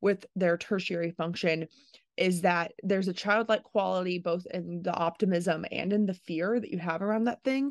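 In a dry, close sound with no echo and a quiet background, a woman talks at a moderate pace with fairly low pitch and fairly even intonation. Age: 20s. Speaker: podcast host and personality type content creator. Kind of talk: solo monologue. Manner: hesitant, many filler words.

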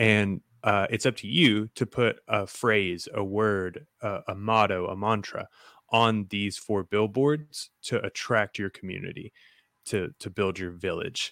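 Here is a man with an unremarkable speaking voice. His pitch is fairly low, with ordinary variation. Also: fairly slow pace. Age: 30s. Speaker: podcast host. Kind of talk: casual interview. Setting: video call.

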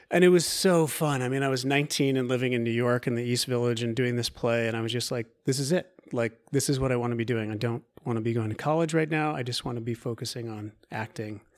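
A man with an American accent speaks at medium pitch and a very fast pace, with hardly any pauses. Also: ordinary pitch variation. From US Pacific Northwest, Oregon coast. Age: 30s. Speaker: actor and movement teacher. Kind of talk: casual interview.

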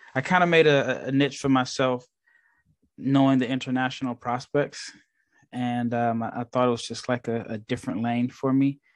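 Against a quiet background, a man speaks in a flat monotone at a medium pitch and a moderate pace. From US Midwest, Nebraska. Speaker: basketball draft scout. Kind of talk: casual interview chat.

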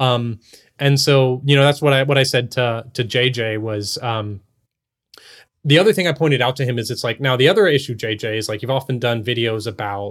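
A man with an ordinary speaking voice and an American accent, at a medium pitch with ordinary pitch variation and a fairly quick pace, in a very clean recording with a silent background. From Texas. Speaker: podcast co-host. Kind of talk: casual interview chat.

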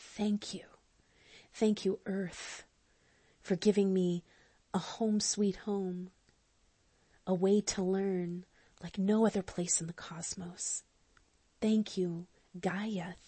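A woman with a warm, somewhat breathy tone speaks in a flat monotone at a very slow pace, with long, frequent pauses. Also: medium pitch for a woman. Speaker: spiritual counselor and astrologer. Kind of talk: guided prayer journey, affirmative prayer; fervent prayer, spoken as a heartfelt invocation and thanks to the divine. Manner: fervent, devout, rising with feeling; warm, slow, intimate and sincere, with emphatic repetition.

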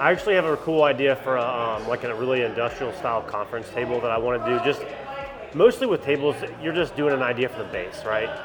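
Very fast speech from a man with an American accent, medium pitch and ordinary pitch variation, against noticeable background noise. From South Carolina, Anderson. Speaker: woodworker and small business owner. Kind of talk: interview.

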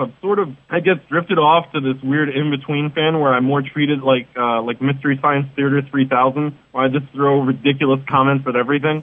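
A fairly high-pitched man with an American accent, fairly quick in pace and monotone, flat in intonation. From New York City. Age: 30s. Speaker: wrestling columnist. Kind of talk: interview.

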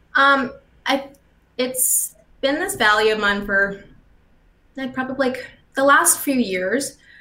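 A woman's high-pitched, bright, sharp, raised and projected voice in a Canadian accent, fairly slow with long, frequent pauses and ordinary pitch variation. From Canada, St. Albert near Edmonton, Alberta. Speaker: public relations professional. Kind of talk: casual interview chat. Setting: video call.

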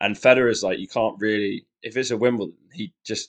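In a West Midlands accent, the speech moves at a moderate pace with fairly even intonation and a dry, close sound with no echo. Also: man. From Shrewsbury, West Midlands, England. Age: 20s. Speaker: tennis fan, guest co-host. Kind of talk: casual chat.

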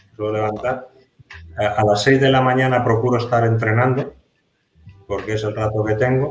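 Music plays behind a man who talks in a flat monotone. The room adds an audible echo. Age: 50s. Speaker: security consultant and trainer, former police officer. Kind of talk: interview. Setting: office, video call.

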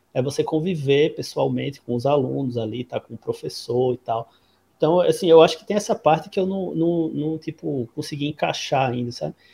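Recorded dry and close with no echo, a man talks at a moderate pace while his loudness swings widely. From Brazil, Natal. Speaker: public policy advisor and academic. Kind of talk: casual interview. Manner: halting.

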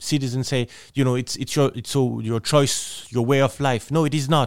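A man with a French accent, medium pitch, fairly even intonation and a moderate pace, in a very clean recording with a silent background and a dry, close sound free of echo. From France. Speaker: politician, member of the European Parliament. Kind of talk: interview. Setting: studio. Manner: halting, with frequent repetitions.

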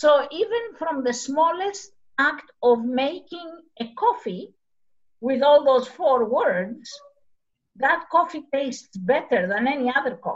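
A woman speaks in a Greek accent with a high pitch. Her pace is fairly slow. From Greece, Arcadia region. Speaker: community project founder. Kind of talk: interview. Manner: halting.

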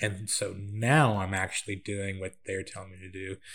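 Somewhat breathy and very deep in pitch, a man with an American accent speaks with fairly even intonation in a very clean recording with a silent background. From Central California, then Georgia. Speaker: filmmaker and assistant director. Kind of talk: casual chat.

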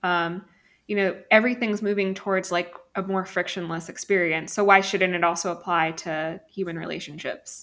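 A woman talks at a moderate pace in a normal speaking voice, medium in pitch. The recording is very clean, and the background is silent. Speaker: podcast host. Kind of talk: casual chat.

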